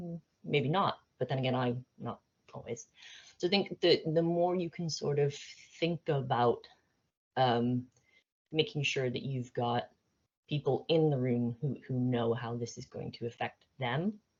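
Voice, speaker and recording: Speaking with an American accent, a woman talks at a fairly slow pace with a very deep, low pitch, ordinary pitch variation, and long, frequent pauses. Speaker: AI expert speaker. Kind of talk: presentation to business leaders. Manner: hesitant, many fillers and repeats.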